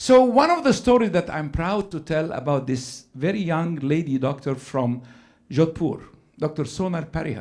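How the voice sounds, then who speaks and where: A man with a fairly high voice whose pitch swings very widely. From Egypt. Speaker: gynecologic surgeon. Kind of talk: conference lecture. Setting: stage with audience.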